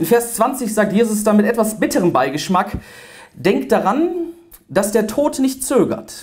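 Against a quiet background, a man with a high pitch and very wide pitch swings talks at a fairly slow pace with long, frequent pauses and very even loudness. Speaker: preacher slam performer. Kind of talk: spoken word poetry slam performance to a live audience. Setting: live on stage in front of an audience. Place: hall. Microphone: handheld.

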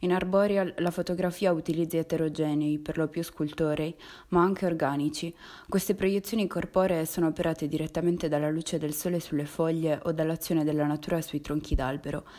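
The recording is very clean, with a silent background. A woman with a fairly low pitch talks at a fairly quick pace in a monotone, flat delivery. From Sardinia. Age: 20s. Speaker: visual artist. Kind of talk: scripted narration.

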